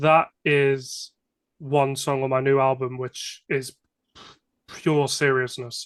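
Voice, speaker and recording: With a British accent, a man speaks very slowly at a medium pitch in a monotone, flat intonation, leaving long, frequent pauses, the sound dry and close with no echo. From England. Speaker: hip-hop artist. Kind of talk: casual interview.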